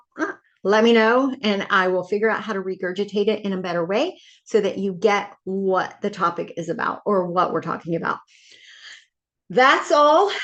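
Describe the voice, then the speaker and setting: A woman's animated voice at medium pitch, with ordinary pitch variation and a quiet background. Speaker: online Bible study leader. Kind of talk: casual video talk. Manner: fast.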